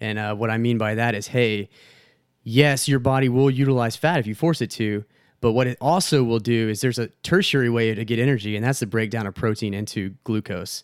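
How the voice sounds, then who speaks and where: A plain, everyday voice from a man with an American accent, medium in pitch, at a fairly quick pace with ordinary pitch variation, on a very clean recording over a silent background. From Texas. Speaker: skydiver and fitness enthusiast. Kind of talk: casual chat.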